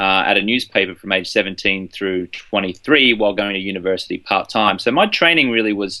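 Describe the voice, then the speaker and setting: At a fairly quick pace, a man speaks with a fairly low pitch, a bright, sharp tone and ordinary pitch variation. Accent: Australian. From Australia, Brisbane. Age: 30s. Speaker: journalist and journalism coach. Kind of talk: interview.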